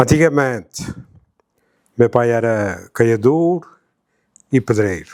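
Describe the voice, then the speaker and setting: A man's voice at a medium pitch. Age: 70s. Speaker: grandfather interviewee. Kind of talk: interview, life story. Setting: family documentary interview.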